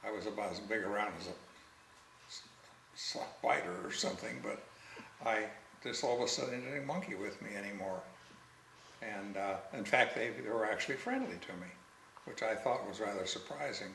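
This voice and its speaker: Speaking at a fairly quick pace with lively intonation and long, frequent pauses, a man uses a fairly low pitch. There is audible room echo and noticeable background noise. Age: 70s. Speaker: interviewee telling life story. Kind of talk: life story interview. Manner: halting.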